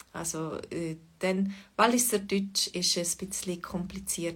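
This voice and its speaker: A woman talks at a fairly slow pace in a medium pitch. Her voice is somewhat breathy. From Switzerland, Fribourg. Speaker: Swiss German language teacher. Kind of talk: livestream language lesson chat. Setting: online livestream. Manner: hesitant, many fillers.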